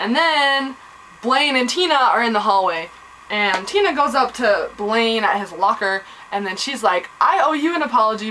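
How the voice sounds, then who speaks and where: Her pitch high and swinging very widely, a woman speaks over noticeable background noise. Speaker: vlogger reviewing a TV episode. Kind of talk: casual recap vlog. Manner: animated.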